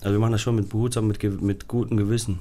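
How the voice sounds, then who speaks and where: A man's voice sits fairly low in pitch, its tone dark and mellow. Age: 30s. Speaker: high-wire artist. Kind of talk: interview.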